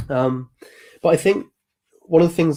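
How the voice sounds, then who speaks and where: Here is a man with an English accent and a dark, mellow tone. His pitch varies in an ordinary way. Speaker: music commentator and channel host. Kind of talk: live stream commentary. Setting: live stream. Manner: hesitant with fillers. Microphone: new microphone.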